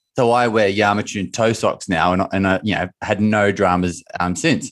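The background is quiet as a man talks with a fairly low pitch. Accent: Australian. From Australia. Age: 30s. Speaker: mindset coach and former footballer. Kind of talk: casual interview.

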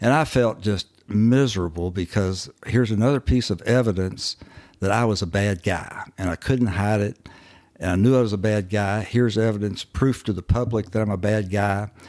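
Speaking in a Southern US accent, a man uses a fairly low pitch, a moderate pace and fairly even intonation. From Kentucky, US. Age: 70s. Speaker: recovering alcoholic. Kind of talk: testimony.

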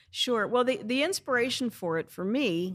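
In a very clean recording with a silent background, a woman with an American accent uses a normal speaking voice, ordinary pitch variation and a fairly slow pace. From US Midwest, St. Louis, Missouri. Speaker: bookstore and coffee house owner. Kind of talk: casual interview.

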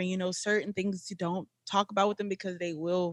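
Talking at a very fast pace in a South Louisiana accent, a woman is heard with a dry, close sound and no echo. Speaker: podcast host, wife. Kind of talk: casual chat.

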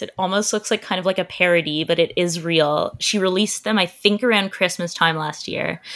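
A woman speaks with a Canadian accent in a normal speaking voice. Her pace is fairly quick. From Canada. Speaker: entertainment journalist. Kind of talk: casual chat.

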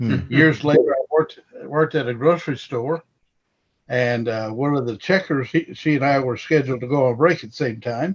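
Fairly quick and fairly high, a man talks with an American accent in a plain, everyday voice with ordinary pitch variation. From Missouri. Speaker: apologetics ministry member. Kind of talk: casual roundtable discussion. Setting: phone or video call.

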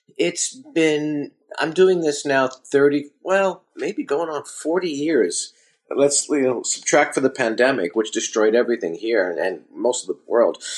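A man speaking fairly slowly with a New York accent. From Brooklyn, New York. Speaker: restaurateur and author. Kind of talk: interview conversation.

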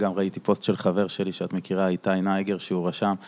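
Very deep and low, a man's voice comes through with a dry, close sound and no echo. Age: 30s. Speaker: podcast host. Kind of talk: casual chat.

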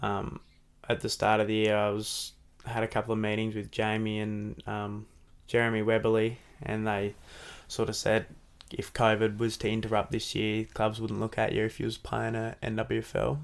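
Speaking at a moderate pace, a man with an Australian accent keeps a fairly low pitch and monotone, flat intonation. The recording is very clean with a silent background. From Devonport, Tasmania. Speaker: AFL footballer. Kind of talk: casual interview chat. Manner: softly spoken, shy.

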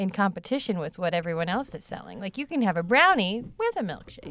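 A woman at a fairly quick pace, pitch swinging very widely, with noticeable background noise

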